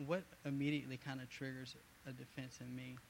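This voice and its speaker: A man at a moderate pace, with monotone, flat intonation. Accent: American. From US South. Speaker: church member. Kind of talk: group discussion comment. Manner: halting.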